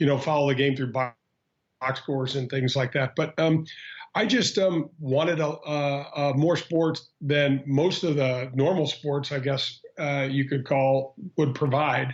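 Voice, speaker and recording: Speaking in a Midwestern American accent, a man uses a fairly high pitch. He goes at a fairly slow pace with fairly even intonation. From Missouri, St. Louis. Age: 50s. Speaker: former pro golfer. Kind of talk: interview. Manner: halting, many fillers.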